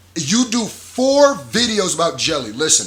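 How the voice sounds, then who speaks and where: In an animated, bright and sharp tone, a man speaks with lively intonation. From Nigeria. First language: not English. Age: 20s. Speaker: YouTube commentator. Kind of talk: casual reaction commentary.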